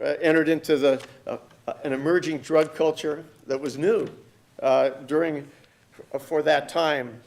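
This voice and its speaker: A man speaks at a moderate pace with a fairly high pitch. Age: 60s. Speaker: pastor and symposium speaker. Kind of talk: conference talk. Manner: halting, many repetitions.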